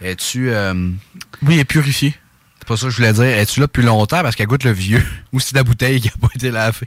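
In a Quebec accent, a man of medium pitch talks at a very fast pace with ordinary pitch variation. Long, frequent pauses break his speech, and the sound is dry and close with no echo. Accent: Québécois French. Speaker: wrestling podcast host. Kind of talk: casual chat. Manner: animated.

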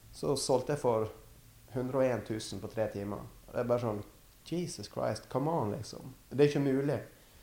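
Moving at a moderate pace, a man speaks at a medium pitch with ordinary pitch variation and a dark, mellow tone. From western Norway, Førde in Sunnfjord. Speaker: artist and gallery owner. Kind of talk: casual interview. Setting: artist's studio.

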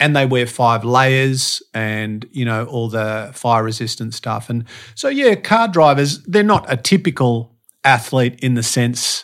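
The speaker talks at a fairly slow pace with an Australian accent. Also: man, medium pitch for a man, ordinary pitch variation, very clean recording, silent background. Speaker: podcast guest, motivational speaker and strength coach. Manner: casual, conversational, same voice everywhere.

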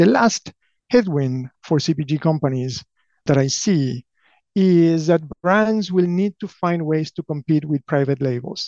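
A man with an Argentine accent, fairly high pitch and dark, mellow tone, at a fairly slow pace, in a dry, close sound with no echo against a quiet background. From Argentina (Buenos Aires). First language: Spanish. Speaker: company president. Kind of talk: interview.

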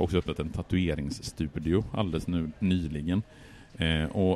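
With a dark, mellow tone and a very deep, low pitch, a man talks at a moderate pace. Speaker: high school history teacher and writer. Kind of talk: casual conversational history talk. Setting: outdoors at a café on a square.

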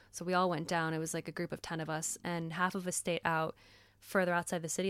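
Very fast speech comes from a woman at a fairly low pitch. The recording is very clean, with a silent background. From US South. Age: 20s. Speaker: podcast guest, psychology graduate. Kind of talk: casual chat.

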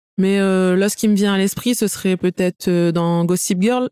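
In a very clean recording with a silent background and a dry, close sound with no echo, a woman speaks at a medium pitch with a dark, mellow tone and monotone, flat intonation. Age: 30s. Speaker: hair salon owner. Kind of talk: casual chat.

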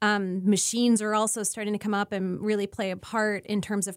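A woman with a Canadian accent at a medium pitch, with monotone, flat intonation and a fairly quick pace, in a very clean recording with a silent background. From Canada, rural Ontario. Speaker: disinformation researcher. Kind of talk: interview.

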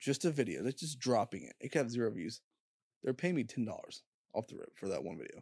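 A man with a medium-pitched, dark, mellow voice and vocal fry speaks in a dry, close sound with no echo against a quiet background. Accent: American. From Indianapolis, Indiana, US Midwest. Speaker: YouTuber. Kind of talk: casual chat.

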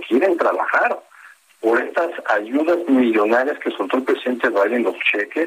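Noticeable background noise and a man's voice at a moderate speed. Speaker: international relations professor. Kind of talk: interview.

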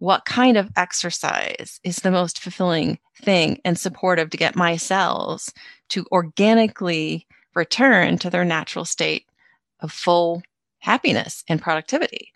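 With an unremarkable speaking voice, a woman talks at a fairly slow pace with fairly low pitch and ordinary pitch variation, the sound dry and close with no echo over a quiet background. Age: 50s. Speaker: author and spiritual mentor. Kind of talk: casual interview.

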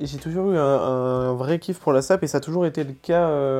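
A man's fairly high-pitched voice, an ordinary speaking voice. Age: 20s. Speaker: 3D artist. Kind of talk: casual interview.

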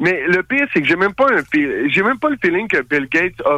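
A man speaks in a Quebec accent with a bright, sharp tone. His intonation is lively. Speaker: radio show host, guest. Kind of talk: casual chat. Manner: halting.

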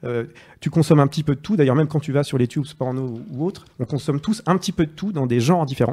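A man with a fairly high pitch and a dark, mellow, somewhat breathy tone speaks at a very fast pace with ordinary pitch variation. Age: 30s. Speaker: journalist. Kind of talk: casual chat.

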